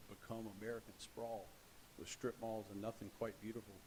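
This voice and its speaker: A man mumbles at a fairly quick pace. His pitch sits in the medium range. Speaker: cardiologist speaking at public comment. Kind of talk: public comment at council meeting. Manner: mumbling; halting.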